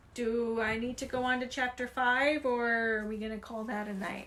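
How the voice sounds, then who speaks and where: Noticeable background noise sits behind a woman whose high voice keeps a moderate pace and fairly even intonation. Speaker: livestreamer reading a book aloud. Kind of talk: reading aloud. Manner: casual.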